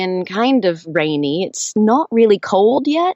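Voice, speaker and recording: A woman with an American accent speaks at a fairly high pitch. Her pace is fairly slow and her intonation lively. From United States. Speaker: audiobook narrator. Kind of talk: interview answer. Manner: lively, energetic.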